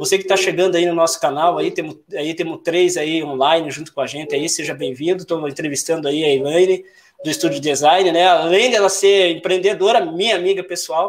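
Fairly quick speech with hardly any pauses and ordinary pitch variation. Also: man, high pitch for a man. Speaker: YouTube channel host. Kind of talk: livestream interview. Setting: YouTube livestream.

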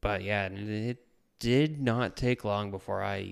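In an Atlantic Canadian accent, the speaker uses fairly even intonation on a very clean recording with a silent background. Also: man. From New Brunswick, Canada. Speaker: former cook. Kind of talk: casual interview. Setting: at the host's house.

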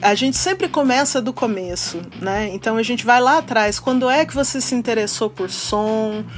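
A woman talks with lively intonation at a fairly high pitch. Noticeable background noise can be heard. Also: moderate pace, hardly any pauses. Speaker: podcast host. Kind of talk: casual interview chat.

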